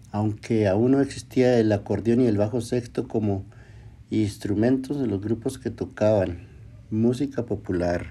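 Fairly slow and fairly even in intonation, a man speaks with a dark, mellow tone at a fairly low pitch. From Chihuahua, northern Mexico. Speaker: podcast host. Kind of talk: solo podcast narration. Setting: at home. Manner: halting, repeats words.

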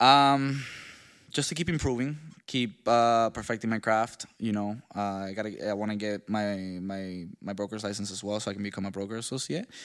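A man with a slight Venezuelan accent and a fairly low pitch. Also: ordinary pitch variation, moderate pace. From Venezuela, Maracaibo (moved to US at eight). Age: 20s. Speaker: realtor and entrepreneur. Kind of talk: interview, personal life story.

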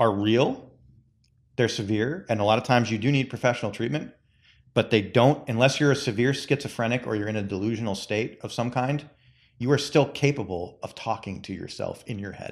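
A plain, everyday voice from a man at medium pitch and moderate pace, with ordinary pitch variation, big swings in loudness and a very clean recording on a silent background. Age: 40s. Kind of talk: casual chat.

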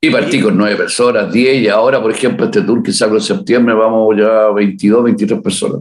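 There is audible room echo as a man speaks at a fairly quick pace with very even loudness. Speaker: musician, leader of a Beatles tribute band. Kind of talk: interview.

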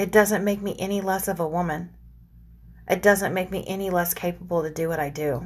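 This woman's voice sits at a medium pitch and sounds somewhat breathy. Her intonation stays fairly even. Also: fairly quick pace. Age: 40s. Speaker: podcast host. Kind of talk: casual monologue.

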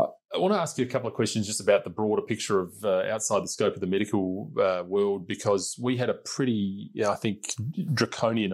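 Speaking with an Australian accent, a man talks at a fairly quick pace in a fairly low voice with fairly even intonation. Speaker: podcast host and politician. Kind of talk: interview. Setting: parliament building.

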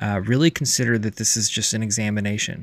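A man talks in a monotone with flat intonation. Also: very clean recording, silent background. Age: 40s. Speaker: podcast host, recovering alcoholic. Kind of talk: solo podcast monologue and reading. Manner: casual, hesitant with fillers.

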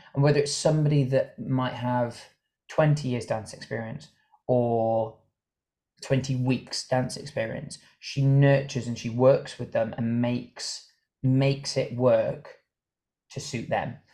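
Somewhat breathy speech in a dark, mellow tone, with fairly even intonation and long, frequent pauses. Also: man, medium pitch for a man, fairly slow pace. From Ireland, Cork. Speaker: dancer and choreographer. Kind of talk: casual interview.

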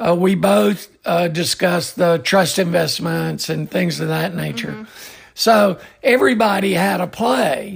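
Against noticeable background noise, a man with a Southern US accent speaks at a fairly slow pace. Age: 60s. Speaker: cemetery industry veteran, podcast co-host. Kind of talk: casual chat.

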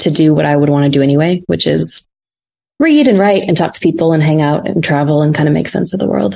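This woman has a fairly low pitch and a dark, mellow tone. She talks at a very fast pace. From North Dakota, Fargo. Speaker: research strategist. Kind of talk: casual interview. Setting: video call.

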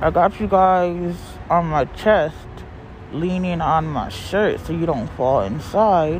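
A woman's fairly low voice at a very slow pace, amid noticeable background noise. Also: ordinary pitch variation. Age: 40s. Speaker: podcaster, single mother. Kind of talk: personal venting monologue. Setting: outdoors in a parking lot. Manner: animated.

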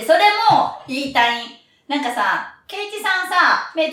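Projecting a raised voice in an animated tone, a woman with a high pitch makes very wide pitch swings, and audible room echo surrounds her. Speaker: podcast host. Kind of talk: casual chat; scripted intro.

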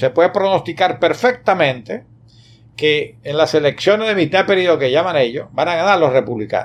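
Talking at a fairly quick pace, a man with a fairly high pitch and vocal fry swings his pitch very widely. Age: 70s. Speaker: historian and academic. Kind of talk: interview. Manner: halting.

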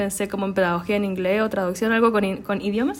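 A woman speaks with a Chilean accent at a fairly quick pace. Her pitch is medium, with fairly even intonation. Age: 20s. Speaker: podcast host, journalism graduate. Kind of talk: casual chat.

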